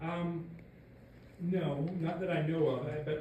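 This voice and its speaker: A man with an American accent at a fairly quick pace, amid audible room echo and noticeable background noise. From US South. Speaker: historian. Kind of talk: lecture Q&A.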